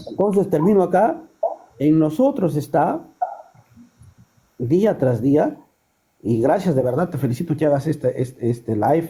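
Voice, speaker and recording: Long, frequent pauses break up a fairly slow delivery with lively intonation and a dark, mellow tone. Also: man, fairly high pitch for a man. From Peru, Trujillo. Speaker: caller. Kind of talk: live stream call-in.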